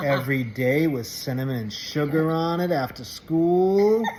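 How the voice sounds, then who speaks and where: Against noticeable background noise, a man with a fairly high voice speaks fairly slowly. His pitch varies in an ordinary way. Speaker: motivational channel host. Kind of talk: casual talk to camera.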